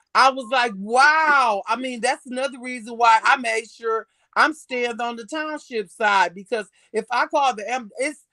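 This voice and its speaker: Loud and animated, a woman with an American accent speaks at a moderate pace in a bright, sharp tone, her pitch fairly high with ordinary variation, in a dry, close sound with no echo. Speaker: podcast host. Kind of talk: heated discussion. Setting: live stream.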